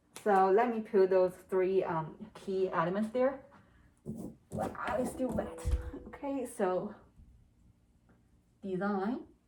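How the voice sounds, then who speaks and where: Speaking with a strong non-native accent, a woman talks at a very slow pace with long, frequent pauses. Her medium pitch varies in an ordinary way, and music plays in the background. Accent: strong non-native accent (self-described). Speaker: UX designer practicing interviews. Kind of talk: solo tutorial-style practice monologue. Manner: hesitant, many fillers; trying to speak at normal speed.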